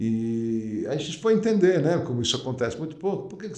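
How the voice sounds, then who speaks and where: There is audible room echo around the voice. A man talks with lively intonation. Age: 60s. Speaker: company founder. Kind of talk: podcast interview. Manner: hesitant, many fillers.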